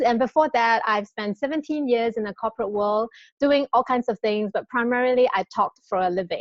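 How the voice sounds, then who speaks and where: In a Singaporean accent, a woman talks at a moderate pace with a fairly high pitch and ordinary pitch variation. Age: 40s. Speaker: network marketing presenter. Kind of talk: sales pitch. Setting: live webinar. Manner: animated.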